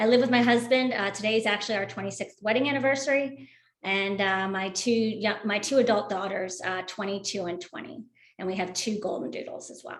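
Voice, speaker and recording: Here is a woman with a plain, everyday voice, speaking in an American accent at a fairly quick pace. Her pitch is medium with ordinary pitch variation, and her loudness swings widely. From Philadelphia, US. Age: 50s. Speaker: person living with Parkinson's. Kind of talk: panel discussion.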